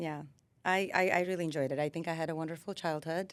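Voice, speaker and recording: On a very clean recording with a silent background, a woman speaks fairly quickly at a fairly low pitch with ordinary pitch variation. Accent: Armenian. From Armenia, Yerevan; moved to US at 14-15. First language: Armenian. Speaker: lawyer. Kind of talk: casual interview.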